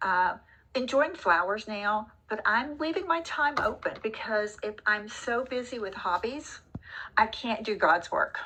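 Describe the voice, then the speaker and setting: A woman speaks with a Texan accent at a fairly high pitch. Her pace is fairly slow. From Texas, Dallas. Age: 60s. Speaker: retiree. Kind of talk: casual chat.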